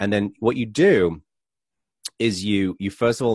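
Recorded dry and close with no echo against a silent background in a very clean recording, a man with an English accent talks at a fairly quick pace in a fairly low voice. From England. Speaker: author. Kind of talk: casual interview.

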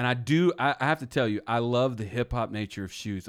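In a very clean recording with a silent background, a man with a medium pitch talks at a moderate pace in an animated tone, with ordinary pitch variation. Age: 30s. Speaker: podcast host. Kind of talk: casual chat.

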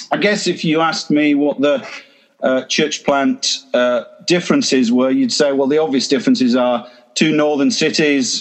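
A man with an English accent talks at a fairly slow pace. His fairly high pitch moves with lively intonation. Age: 50s. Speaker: church planter. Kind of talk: talk to online group. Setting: video call.

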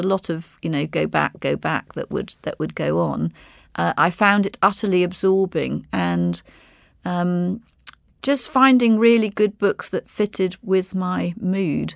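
A woman with an RP accent at a moderate pace, on a very clean recording with a silent background and a dry, close sound with no echo. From Bahamas, then English boarding school. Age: 60s. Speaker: marketing executive. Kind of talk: interview.

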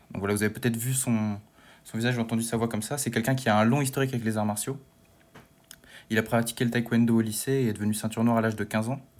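A man's very fast speech, broken by long, frequent pauses, with fairly even intonation. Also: medium pitch for a man. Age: 20s. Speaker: history student and podcast columnist. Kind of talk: casual chat.

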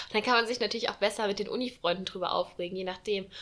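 Over noticeable background noise, a woman speaks at fairly high pitch in a monotone, flat way. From Saarland region, Germany. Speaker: student podcast host. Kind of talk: casual chat.

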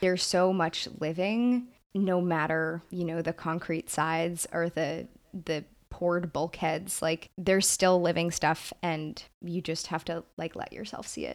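A woman with an American accent uses a plain, everyday voice, fairly low in pitch, speaking at a fairly slow pace with fairly even intonation on a very clean recording with a silent background. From Brooklyn, New York. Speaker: podcast co-host. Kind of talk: casual discussion podcast.

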